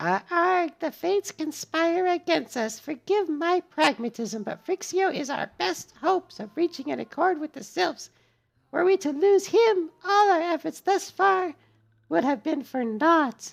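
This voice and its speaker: A man puts on a squeaky character voice at an extremely high pitch, speaking at a moderate pace. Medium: game stream. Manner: formal, measured.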